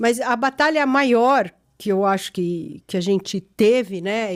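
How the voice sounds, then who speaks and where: An unremarkable speaking voice from a woman, fairly high in pitch with lively intonation, on a very clean recording against a silent background. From Chile. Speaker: gynecologist and podcast host. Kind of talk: casual family interview.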